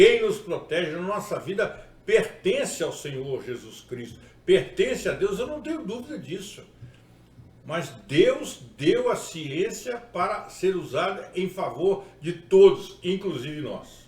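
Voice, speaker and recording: A man with a high pitch speaks at a very slow pace, with very wide pitch swings and big swings in loudness. Audible room echo and noticeable background noise are present. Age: 60s. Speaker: pastor. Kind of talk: sermon-style video talk.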